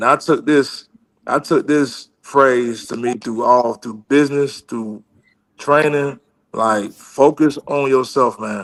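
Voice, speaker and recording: An unremarkable speaking voice from a man, fairly high in pitch, at a fairly slow pace, with ordinary pitch variation. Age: 40s. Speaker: former NFL offensive lineman and coach. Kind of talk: casual interview chat. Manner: casual, conversational.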